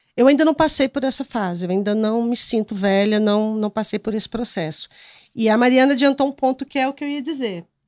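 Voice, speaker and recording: In an unremarkable speaking voice, a woman talks fairly quickly at a fairly high pitch with ordinary pitch variation, the sound dry and close with no echo and the background quiet. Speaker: journalist and youtuber. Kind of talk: casual chat.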